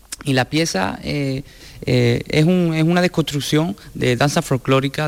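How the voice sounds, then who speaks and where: Here is a man with an ordinary speaking voice, fairly high in pitch, at a moderate pace. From Sanlúcar de Barrameda, Cádiz. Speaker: dancer and choreographer. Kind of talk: interview.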